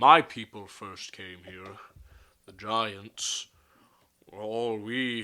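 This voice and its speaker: This man puts on a character voice at a medium pitch. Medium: actual play. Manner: slow, grave, formal.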